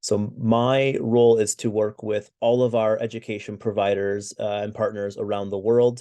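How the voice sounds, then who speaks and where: A man with an American accent speaks at a moderate pace in a medium pitch, his dark, mellow tone delivered in a monotone, flat intonation against a quiet background. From US. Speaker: webinar co-host, recruitment executive. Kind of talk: webinar presentation. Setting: online webinar. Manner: hesitant, many fillers.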